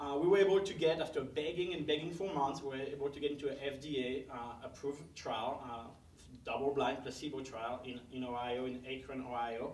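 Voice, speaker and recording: A man's fairly high pitch with a French accent and ordinary pitch variation, at a fairly quick pace, with audible room echo. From France. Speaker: parent advocate. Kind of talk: talk. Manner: many fillers (uh, um).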